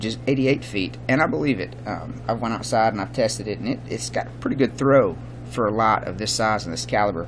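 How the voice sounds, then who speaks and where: Noticeable background noise is present throughout. Over it, a man talks at a moderate pace. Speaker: flashlight reviewer, works as EMT. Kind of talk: product review. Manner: casual with many fillers.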